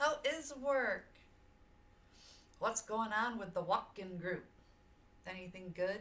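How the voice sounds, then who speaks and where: The speaker has an American accent and a loud, bright, sharp tone with lively intonation. Delivery is very slow, with long, frequent pauses. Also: woman, fairly high pitch for a woman. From US South, Georgia. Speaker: streamer. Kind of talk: casual chat. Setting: live stream. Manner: animated.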